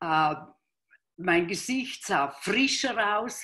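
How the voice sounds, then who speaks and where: Against a quiet background, the speaker moves at a very slow pace with lively intonation. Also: woman. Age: 60s. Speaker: product user; interviewee. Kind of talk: testimony. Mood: warm, enthusiastic testimonial. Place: home room. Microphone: video call.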